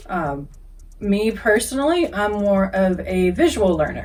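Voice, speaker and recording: A woman speaks at a fairly slow pace in a medium pitch, with ordinary pitch variation and audible room echo. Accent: Kentucky. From US South, Kentucky. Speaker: English teacher. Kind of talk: casual introduction to viewers.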